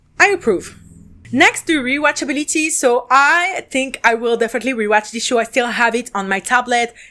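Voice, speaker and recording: Speaking at a fairly quick pace with a French accent, a woman uses a high-pitched, bright and sharp tone on a very clean recording with a silent background. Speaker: podcast host and drama reviewer. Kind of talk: casual review monologue. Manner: casual, filler-heavy.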